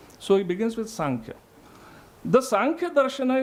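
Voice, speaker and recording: Intonation here is lively. The pace is moderate. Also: man. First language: not English. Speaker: philosophy scholar presenting a paper. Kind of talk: academic conference talk. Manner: halting, with self-corrections.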